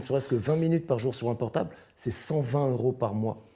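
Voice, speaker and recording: Speaking at a very fast pace, a man uses a medium pitch with ordinary pitch variation and a dark, mellow, somewhat breathy tone. The recording is very clean, with a silent background. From Paris, 18th arrondissement. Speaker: former prisoner. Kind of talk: interview.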